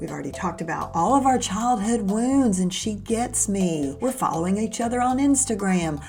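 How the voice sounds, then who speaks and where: With music in the background, a woman speaks at a moderate pace using lively intonation. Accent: American. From Southern US. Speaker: podcast host. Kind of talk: podcast intro to camera.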